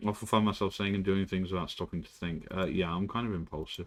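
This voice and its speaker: In a British accent, a man speaks at a very deep, low pitch with monotone, flat intonation and a fairly quick pace. The recording is very clean, with a silent background. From Britain. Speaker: streamer. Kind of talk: casual chat. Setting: live stream.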